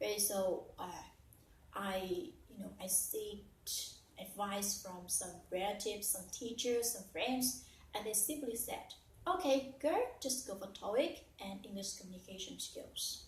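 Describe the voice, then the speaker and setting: In a Vietnamese accent, a woman talks at a fairly slow pace, her loudness swinging widely, with audible room echo. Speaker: English learner and teacher. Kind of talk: personal story. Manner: halting with fillers.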